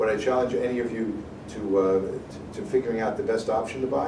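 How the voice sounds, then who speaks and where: Noticeable background noise and audible room echo around a man talking at a fairly quick pace. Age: 60s. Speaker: financial advisor speaking to students. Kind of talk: motivational talk to students. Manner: animated.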